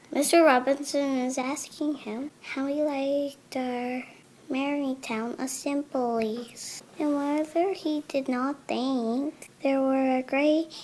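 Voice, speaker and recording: Using a put-on character voice, a woman speaks slowly-ish at a high pitch with fairly even intonation. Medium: read story. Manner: calm, matter-of-fact.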